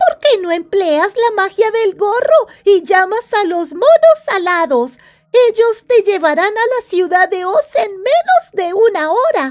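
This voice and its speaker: A woman does a put-on character voice at an extremely high pitch. She speaks at a fairly slow pace. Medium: read story. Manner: polite, obliging.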